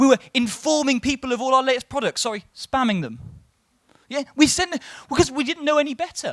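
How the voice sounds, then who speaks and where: The speaker talks at a fairly quick pace with an English accent, the sound dry and close with no echo. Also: man. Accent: sounds English rather than Welsh. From Wales. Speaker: marketing executive and conference speaker. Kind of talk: conference talk.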